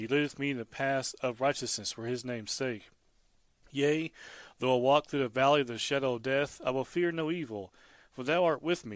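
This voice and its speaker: A man with a plain, everyday voice, medium pitch, ordinary pitch variation and a fairly quick pace, on a very clean recording with a silent background. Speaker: devotional speaker. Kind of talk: scripture reading then devotional commentary.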